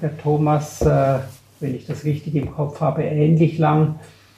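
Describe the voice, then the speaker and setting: Speaking at a very slow pace, a man with a fairly high pitch keeps a monotone, flat intonation. Noticeable background noise runs underneath. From Graubünden, Switzerland. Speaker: portfolio manager. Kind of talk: casual interview.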